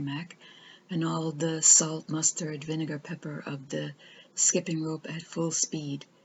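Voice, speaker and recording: Calm and somewhat breathy, a woman speaks at a fairly slow pace with a very deep, low pitch. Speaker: storyteller. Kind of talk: reading aloud.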